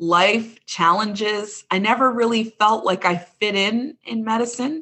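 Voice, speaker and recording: With a slight Midwestern US accent, a woman talks at a fairly high pitch with ordinary pitch variation. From Chicago suburbs, US Midwest. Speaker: medical doctor and intuitive healer. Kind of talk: casual interview.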